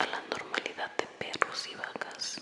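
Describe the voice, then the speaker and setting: Someone whispers at a very slow pace. Background noise is noticeable throughout. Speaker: ASMR creator. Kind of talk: read story. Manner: whispered.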